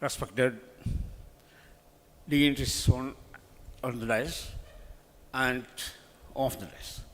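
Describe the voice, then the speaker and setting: A man speaks at a medium pitch with vocal fry and a fairly slow pace. His intonation stays fairly even, with long, frequent pauses and big swings in loudness. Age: 70s. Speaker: local dignitary. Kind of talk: formal speech.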